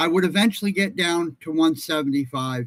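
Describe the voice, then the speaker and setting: A man speaks at a moderate pace in a high pitch. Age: 60s. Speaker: retired navy veteran. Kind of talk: personal video monologue. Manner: halting.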